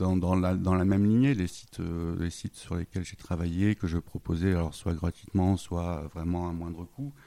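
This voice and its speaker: A man's very deep, low voice with a dark, mellow tone, fairly even intonation, a moderate pace and hardly any pauses. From northern France, Lille. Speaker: web designer, freelance entrepreneur. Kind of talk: interview. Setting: at home in his apartment. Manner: halting, many hesitations.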